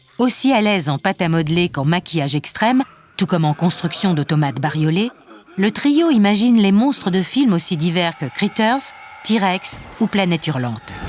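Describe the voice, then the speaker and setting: Music plays in the background while a woman talks at a moderate pace. Her fairly low voice moves in very wide pitch swings. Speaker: narrator. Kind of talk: documentary narration.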